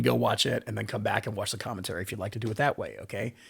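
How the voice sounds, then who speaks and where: A very fast pace, vocal fry, and a slight Southern US accent. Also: man. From US South. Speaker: bass player and YouTuber. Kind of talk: reaction commentary.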